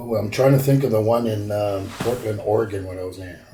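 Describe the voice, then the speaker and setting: There is audible room echo as a man with a fairly low pitch speaks at a moderate pace. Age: 50s. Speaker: former pro wrestler. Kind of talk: interview. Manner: halting.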